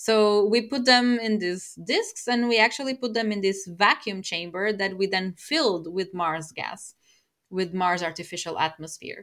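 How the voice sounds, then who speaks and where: A woman's medium-pitched voice with a Portuguese accent. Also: ordinary pitch variation, moderate pace. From Portugal. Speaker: space microbiologist. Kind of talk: panel talk with audience.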